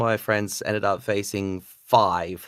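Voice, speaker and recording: The recording is very clean, with a silent background. A man talks at a fairly low pitch in an Australian accent. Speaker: card game player, podcaster. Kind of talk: casual chat.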